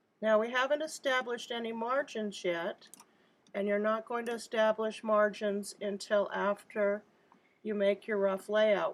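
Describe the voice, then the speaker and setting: A woman's unremarkable speaking voice, medium in pitch, at a fairly slow pace with fairly even intonation. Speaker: graphic design instructor. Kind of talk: tutorial.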